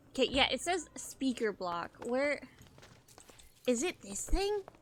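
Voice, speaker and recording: A woman speaks loud and at a very slow pace. Her high pitch makes very wide swings. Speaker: gaming streamer. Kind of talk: live gameplay commentary.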